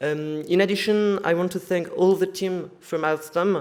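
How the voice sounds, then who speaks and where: A man with a French accent speaks at a moderate pace and with fairly even intonation. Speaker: student society member. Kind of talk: welcome speech. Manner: halting.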